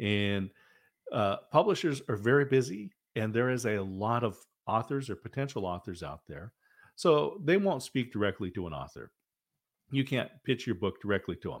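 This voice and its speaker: A man with an American accent speaks at a moderate pace in a medium pitch, his intonation lively. The recording is very clean, with a silent background. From Oregon, US Northwest. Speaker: military veteran and author coach. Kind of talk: interview.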